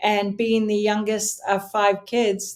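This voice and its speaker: A woman at a fairly slow pace, with a Canadian Maritime accent. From Nova Scotia, Canada. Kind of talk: interview.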